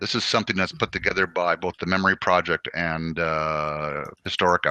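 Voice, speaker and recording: In a dry, close sound with no echo, a man talks in a very deep, low pitch with a bright, sharp tone and monotone, flat intonation. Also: fairly quick pace. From French-speaking Canada. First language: French. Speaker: army veteran and co-host. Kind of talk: casual chat.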